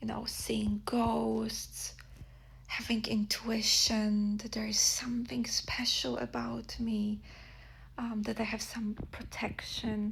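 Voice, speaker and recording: In a Polish accent, the speaker goes at a very slow pace. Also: woman. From Poland. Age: 30s. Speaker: podcast host, spiritual practitioner. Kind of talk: casual monologue podcast. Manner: halting with fillers.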